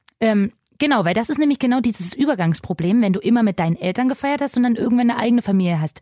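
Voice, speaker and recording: Very fast, somewhat breathy speech with a dark, mellow tone and lively intonation holds very even loudness in a dry, close sound with no echo. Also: woman. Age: 30s. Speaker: radio show co-host. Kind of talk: casual chat.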